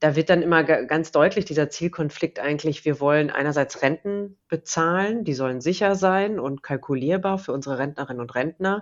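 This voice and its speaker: A woman with a very deep, low voice, speaking at a moderate pace. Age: 40s. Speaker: pension fund executive. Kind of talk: interview.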